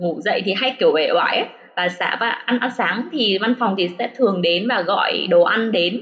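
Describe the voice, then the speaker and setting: There is noticeable background noise as a woman talks. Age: 30s. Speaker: former study-abroad student in Japan. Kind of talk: casual interview chat. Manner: hesitant, many fillers.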